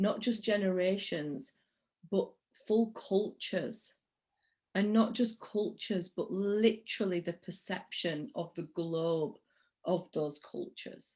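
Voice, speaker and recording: A woman with a Yorkshire accent, medium in pitch, somewhat breathy, at a very slow pace. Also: ordinary pitch variation. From Yorkshire, northern England. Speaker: interview host, spiritual coach. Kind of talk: interview.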